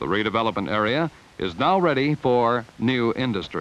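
Vocal fry and lively intonation mark this moderate-paced speech in an American accent. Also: man. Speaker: narrator. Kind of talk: 1950s civic promotional film narration, scripted and read. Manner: earnest and promotional, rhythmic and declamatory, with stock phrases.

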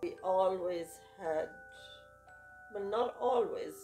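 A woman speaks while noticeable noise sits in the background. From Ireland. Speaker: grandmother. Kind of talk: interview answer. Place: home room. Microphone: camera far.

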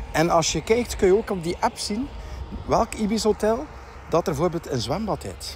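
Over light background noise, a man's voice comes through with a dry sound and no echo. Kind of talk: casual vlog chat. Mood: cheerful, chatty. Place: street. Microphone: phone near.

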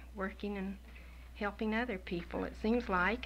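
A woman with an American accent speaks at a fairly slow pace in a warm tone. There is noticeable background noise. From Utah, USA. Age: 60s. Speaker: grandmother telling life story. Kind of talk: personal life story recollection. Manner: warm, sentimental. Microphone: old recording.

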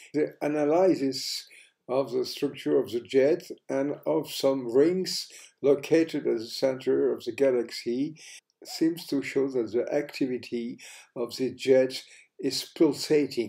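A French accent with fairly even intonation and a dark, mellow tone, at a fairly slow pace. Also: man, fairly high pitch for a man. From France. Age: 80s+. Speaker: astrophysicist. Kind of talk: science lecture narration.

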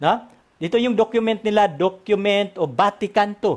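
A man speaks with a high pitch. His intonation stays fairly even. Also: quiet background. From Philippines. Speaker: Bible prophecy teacher. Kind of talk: religious lecture; prayer. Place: home room. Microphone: headset.

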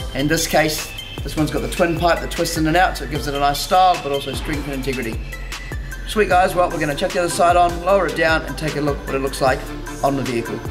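The man's speech rushes at a very fast pace. Music can be clearly heard behind him. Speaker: presenter. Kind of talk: tutorial. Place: workshop.

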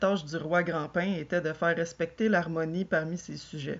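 With fairly even intonation, a woman talks at a fairly low pitch. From Quebec, Canada. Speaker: storyteller. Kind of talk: children's tale reading. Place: home room. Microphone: webcam.

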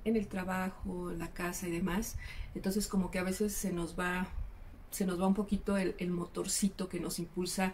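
Light background noise sits behind speech at a moderate pace with monotone, flat intonation. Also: woman. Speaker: cross-stitch vlogger. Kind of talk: casual vlog chat. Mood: warm, a little shy. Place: home room. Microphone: phone near.

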